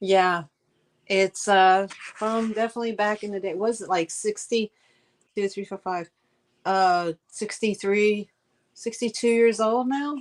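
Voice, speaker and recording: A woman at a medium pitch speaks at a fairly slow pace with fairly even intonation and long, frequent pauses. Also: dry, close sound with no echo. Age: 60s. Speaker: live sale host. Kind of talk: casual chat. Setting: livestream.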